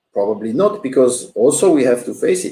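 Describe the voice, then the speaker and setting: Here a man talks with a French accent. His pace is fairly quick. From Switzerland, French-speaking. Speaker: business coach. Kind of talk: livestream motivational talk. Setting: live stream. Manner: hesitant, many fillers.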